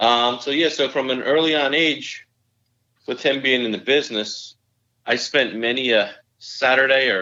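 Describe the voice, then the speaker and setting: Fairly even intonation and a moderate pace carry a New Jersey accent. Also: man. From northern New Jersey. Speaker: amateur golfer. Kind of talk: casual chat.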